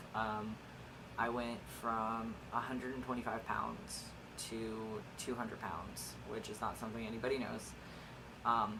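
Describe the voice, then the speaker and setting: With noticeable background noise and audible room echo, a man at medium pitch talks in a flat monotone broken by long, frequent pauses. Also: fairly slow pace. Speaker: vlogger documenting gender transition. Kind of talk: casual vlog update. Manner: hesitant, many filler words.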